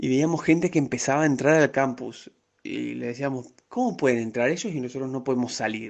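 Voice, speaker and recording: At a fairly quick pace, a man in a normal speaking voice, medium in pitch, speaks with ordinary pitch variation. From Argentina, Rosario. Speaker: graduate student abroad. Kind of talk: interview.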